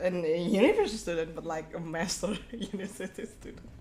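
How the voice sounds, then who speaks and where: Noticeable background noise sits behind a woman's voice. She keeps a moderate pace and fairly even intonation. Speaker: streamer and illustrator. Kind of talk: casual chat. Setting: live stream. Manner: halting.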